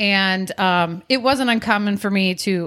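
A woman talks at a medium pitch with ordinary pitch variation, in an ordinary speaking voice. The recording is very clean with a silent background. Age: 40s. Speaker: podcast co-host. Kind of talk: casual chat.

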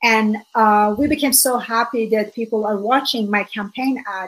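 A woman with an Iranian accent speaks at a fairly slow pace, her fairly high pitch held in fairly even intonation. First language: Farsi. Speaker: author and speaker. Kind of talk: interview, personal testimony. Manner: earnest, hesitant with fillers.

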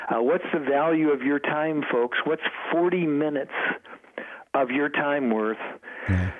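A fairly high-pitched man's voice at a fairly slow pace with long, frequent pauses, ordinary pitch variation and very even loudness, over noticeable background noise. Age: 70s. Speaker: food company representative. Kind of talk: promotional interview. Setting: phone call.

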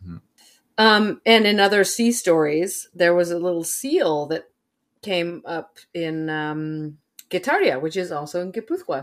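A woman with an American accent talks at a fairly slow pace in an unremarkable speaking voice, her pitch fairly low. Her pitch varies in an ordinary way while her loudness swings widely. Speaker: podcast host. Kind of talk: casual chat, true crime podcast.

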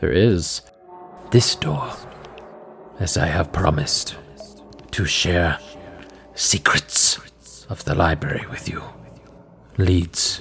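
A man uses a put-on character voice with a very deep, low pitch. He goes at a fairly slow pace, with faint music in the background. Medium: actual play. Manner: terse, formal, flat and emotionless; dramatic pauses.

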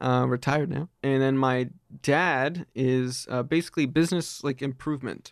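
Against a quiet background, a man with an American accent uses a plain, everyday voice at a medium pitch, speaking at a moderate pace with fairly even intonation. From Pennsylvania, Reading. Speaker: sound designer and student. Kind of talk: casual interview.

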